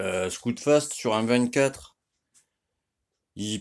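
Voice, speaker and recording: Captured in a very clean recording with a silent background, a man speaks at a very slow pace with ordinary pitch variation. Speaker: moped mechanic youtuber. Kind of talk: tutorial. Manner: loud; casual, filler-heavy.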